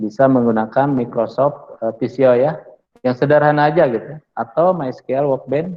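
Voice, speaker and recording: Speech in a Sundanese accent at a moderate pace. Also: man. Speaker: university lecturer. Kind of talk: lecture. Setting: classroom with online students. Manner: casual, with many fillers.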